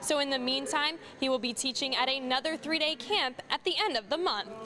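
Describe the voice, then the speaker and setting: Over music in the background, a woman with a high pitch uses a raised, projected voice, lively intonation and a fairly quick pace. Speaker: sports reporter. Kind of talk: sports news reporter delivery.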